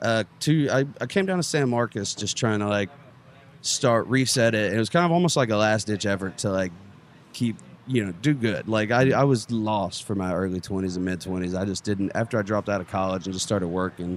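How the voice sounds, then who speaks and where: A man with an East Texas accent talks at a fairly quick pace. His voice sits fairly low and its pitch varies in an ordinary way. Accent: East Texas Southern US. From East Texas, near Longview. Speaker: stand-up comedian. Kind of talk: casual podcast interview.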